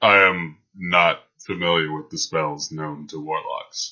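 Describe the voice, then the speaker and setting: In a put-on character voice, a man speaks very deep and low at a fairly slow pace. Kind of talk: formal, slightly archaic phrasing. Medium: actual play. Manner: calm, precise, dry.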